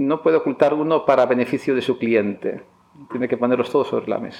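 The man talks at a fairly quick pace, with a medium pitch and ordinary pitch variation. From Basque Country, Spain (Barakaldo). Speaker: economics professor. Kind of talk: interview. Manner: halting, many fillers and repetitions.

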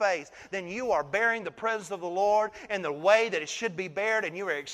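Someone is reading aloud in a natural voice. The delivery stays natural throughout.

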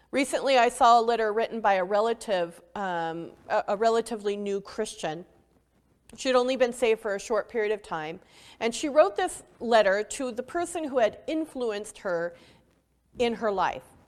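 The speaker has a plain, everyday voice with lively intonation. The pace is moderate. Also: woman, fairly high pitch for a woman. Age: 40s. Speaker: pastor. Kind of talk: sermon. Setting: online church service.

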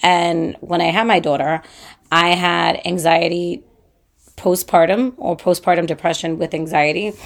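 A woman's fairly low-pitched voice at a fairly slow pace, with fairly even intonation. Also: very clean recording, silent background. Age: 30s. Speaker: podcast host, mother. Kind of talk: personal monologue. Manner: casual, hesitant with fillers.

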